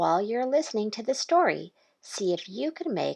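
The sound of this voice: The reading voice is unforced, and little can be heard behind it.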